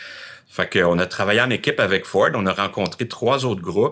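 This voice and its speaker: The tone is bright and sharp, with lively intonation. It moves at a fairly slow pace. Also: man. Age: 60s. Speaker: former car dealership owner. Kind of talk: interview. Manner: halting.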